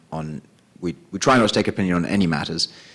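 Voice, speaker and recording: A man with a British accent speaks in a very deep, low pitch with a bright, sharp tone. The recording is very clean, with a silent background. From England (London). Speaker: tech company executive. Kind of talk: conference panel introduction. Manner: hesitant, many ums.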